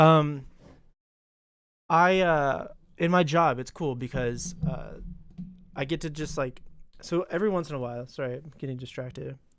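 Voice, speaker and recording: Over background music, a man with a fairly high pitch speaks at a moderate pace with ordinary pitch variation, leaving long, frequent pauses. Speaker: podcast co-host. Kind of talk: casual chat. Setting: live stream.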